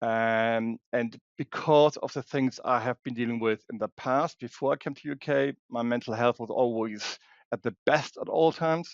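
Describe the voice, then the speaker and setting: A man with a German accent speaks at medium pitch and a moderate pace, with hardly any pauses. The sound is dry and close with no echo, over a quiet background. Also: fairly even intonation. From Germany. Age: 50s. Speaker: security expert and women's safety advocate. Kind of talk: interview. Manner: halting, many restarts.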